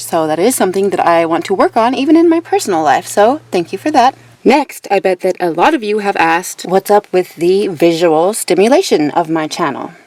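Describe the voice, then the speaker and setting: Over noticeable background noise, a woman with a medium pitch talks at a fairly quick pace with hardly any pauses and very wide pitch swings, in a dry, close sound with no echo. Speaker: true crime YouTuber. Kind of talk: casual vlog monologue. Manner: lip smacking.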